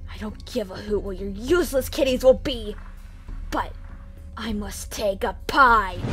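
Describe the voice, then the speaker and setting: In a cartoonish character voice, a female-sounding speaker with a fairly high pitch talks at a moderate pace with long, frequent pauses over clear background noise. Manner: angry, shouting, blustering.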